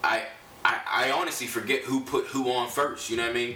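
Noticeable background noise is present throughout. The talking is fairly quick. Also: man. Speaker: rapper and podcast co-host. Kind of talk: casual interview chat. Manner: filler-heavy, repeats "you know what I mean".

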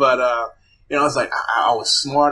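The man's pitch is fairly high, his tone bright and sharp. His intonation stays fairly even. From Zimbabwe. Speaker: actor and streaming platform founder. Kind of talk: interview.

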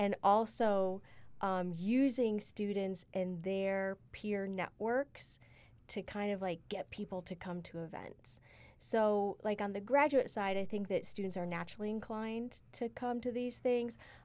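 A woman talks at a fairly slow pace. It is a normal speaking voice with ordinary pitch variation. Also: medium pitch for a woman. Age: 40s. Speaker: university diversity director. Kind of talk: casual chat.

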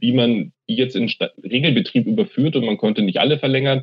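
A man races along at a very fast pace with lively intonation. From Munich, Bavaria. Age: 40s. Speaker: university IT executive. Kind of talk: interview.

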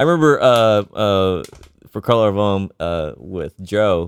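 A man speaks in a plain, everyday voice with fairly low pitch and ordinary pitch variation, recorded very cleanly against a silent background with a dry, close sound and no echo. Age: 30s. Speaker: tech support worker and guitarist. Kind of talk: casual chat.

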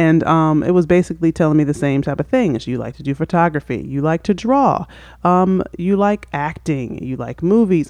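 A plain, everyday voice from a woman, fairly low-pitched, its pitch varying in an ordinary way. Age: 30s. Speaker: podcast co-host, parent. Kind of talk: casual chat.

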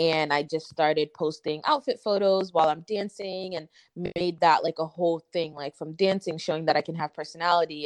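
Close and dry with no echo over a quiet background, a woman with an American accent uses an unremarkable speaking voice, fairly low in pitch, with fairly even intonation at a fairly quick pace. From Massachusetts. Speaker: influencer and model. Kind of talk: casual chat.

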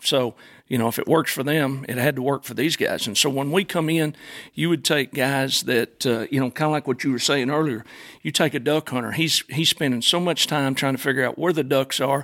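A man with an Arkansas accent speaks at a fairly quick pace and a fairly high pitch. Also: fairly even intonation. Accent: Arkansas Southern. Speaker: gun customizer. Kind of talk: casual interview. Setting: studio.

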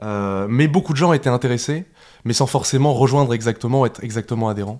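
In a very clean recording with a silent background, a man speaks very fast at medium pitch. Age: 20s. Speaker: animal rights youth activist. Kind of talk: casual interview. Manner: halting.

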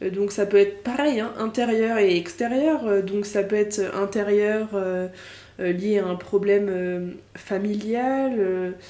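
Someone talks at a very slow pace with ordinary pitch variation, amid audible room echo and noticeable background noise. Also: woman, medium pitch for a woman. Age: 20s. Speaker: podcaster. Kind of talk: casual monologue. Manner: hesitant, many fillers.

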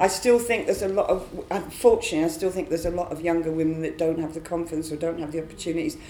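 A woman's fairly low voice at a very fast pace, fairly even in intonation, over noticeable background noise. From Scotland. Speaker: improvising vocalist. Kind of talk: panel discussion. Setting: stage with audience.

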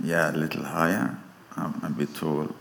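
Over noticeable background noise and audible room echo, a man speaks in a very deep, low voice with flat, monotone intonation. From Sweden. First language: Swedish (speaking German). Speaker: preacher. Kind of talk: sermon. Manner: halting.

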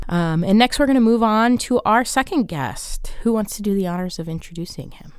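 At a fairly quick pace with hardly any pauses, a woman speaks at a fairly high pitch in an ordinary speaking voice. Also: lively intonation. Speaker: podcast host. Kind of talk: podcast discussion with clips.

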